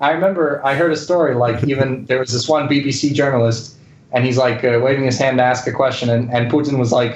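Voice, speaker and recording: Against noticeable background noise and audible room echo, a man talks at a very fast pace, with very even loudness and fairly even intonation. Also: medium pitch for a man. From grew up bilingual English and Spanish. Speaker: journalist covering Russia. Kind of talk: casual interview chat. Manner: casual, filler-heavy.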